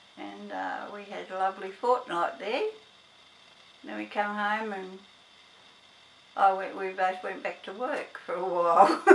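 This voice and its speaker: A woman with an Australian accent speaks at a fairly slow pace in a medium pitch with ordinary pitch variation, big swings in loudness, and long, frequent pauses. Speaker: grandmother interviewed by grandson. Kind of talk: interview answer. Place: home room.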